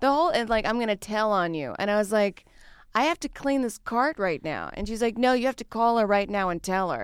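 A woman's plain, everyday voice, fairly high-pitched with lively intonation and an American accent, at a fairly quick pace on a very clean recording with a silent background. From US South, Louisiana. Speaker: stand-up comedian. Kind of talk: casual chat.

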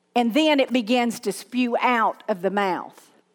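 A woman's high voice at a very slow pace. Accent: Southern US. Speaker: pastor. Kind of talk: sermon. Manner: animated.

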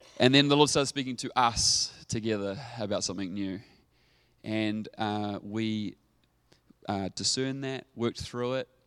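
On a very clean recording with a silent background, a man with a New Zealand accent speaks at medium pitch and a moderate pace with ordinary pitch variation. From New Zealand, Dunedin (South Island). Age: 30s. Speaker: pastor. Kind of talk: sermon. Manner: animated.

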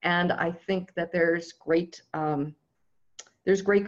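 Her intonation fairly even, a woman with an American accent speaks at a fairly low pitch. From US, Southern California. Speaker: technology consultant. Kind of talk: interview.

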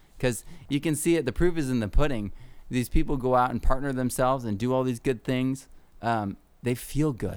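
In an American accent, a normal speaking voice moves at a moderate pace with ordinary pitch variation. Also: man, medium pitch for a man. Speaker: podcast host and permaculture teacher. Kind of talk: casual conversation.

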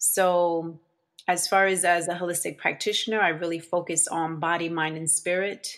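This woman speaks with an American accent in a fairly low pitch. Her intonation stays monotone and flat, and the recording is very clean with a silent background. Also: moderate pace. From New Jersey, Elizabeth. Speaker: holistic practitioner. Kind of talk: interview.

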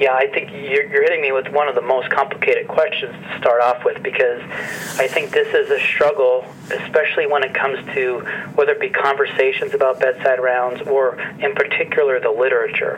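A man with an American accent speaks at a fairly quick pace. Background noise is noticeable. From northeastern central Pennsylvania. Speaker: medical professor. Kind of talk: interview. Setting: phone call. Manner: hesitant, many fillers.

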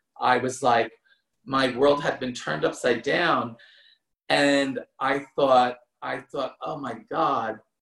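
At a fairly slow pace, a man with an American accent talks in a plain, everyday voice at a medium pitch. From US Northeast, New Jersey. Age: 50s. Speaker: former show dancer. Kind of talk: casual interview.

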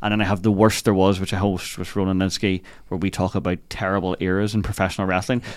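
A man with a Northern Irish accent, very deep and low in pitch, racing at a very fast pace in a monotone, flat intonation, on a very clean recording with a silent background. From Northern Ireland, Lisburn. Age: 30s. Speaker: comedian. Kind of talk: casual chat. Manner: loud.

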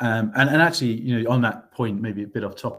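Someone speaks at a fairly quick pace with a British accent. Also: man. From UK. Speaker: MBA student. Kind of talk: interview. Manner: halting, many fillers and repetitions.

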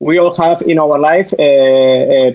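His pitch moves with ordinary variation. The man talks in a Spanish accent. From Spain. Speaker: singing bowl therapist. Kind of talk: interview talk. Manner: halting.

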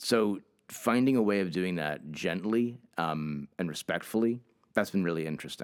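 Speaking at a moderate pace with a New England accent, a man has a very deep, low pitch and ordinary pitch variation. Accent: New England American. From Hartford, Connecticut. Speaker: museum education director. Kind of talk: interview.

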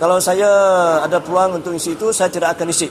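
The talking runs at a fairly quick pace with noticeable background noise underneath. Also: man. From Sarawak, Baram. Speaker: community activist. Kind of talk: field interview.

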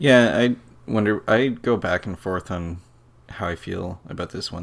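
A man is speaking at a moderate pace. His pitch varies an ordinary amount. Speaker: podcast co-host, games writer. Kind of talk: casual chat. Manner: jokey.

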